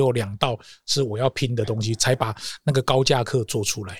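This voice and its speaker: A man with a somewhat breathy voice, recorded dry and close with no echo, on a very clean track with a silent background. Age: 50s. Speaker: corporate trainer. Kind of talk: interview.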